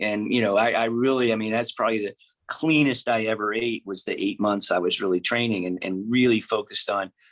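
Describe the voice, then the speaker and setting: A man's medium-pitched voice at a fairly quick pace, with ordinary pitch variation, hardly any pauses, and a very clean recording against a silent background. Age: 60s. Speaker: physician. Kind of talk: interview. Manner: halting, many fillers.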